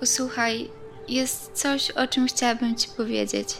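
Over clear background music, a put-on character voice with a fairly high pitch wavers shakily at a moderate pace. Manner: trembling voice.

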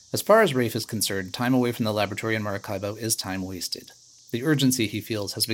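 With ordinary pitch variation, text is read aloud in a natural voice.

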